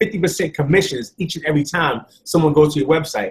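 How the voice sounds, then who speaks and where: With a New York accent, a man talks at a very fast pace with ordinary pitch variation. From New York City (Bronx). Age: 40s. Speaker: network marketing presenter. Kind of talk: sales pitch.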